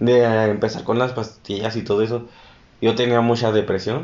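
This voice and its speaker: A man speaks at a medium pitch and a moderate pace. His is a plain, everyday voice. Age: 20s. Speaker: podcast co-host. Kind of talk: casual chat.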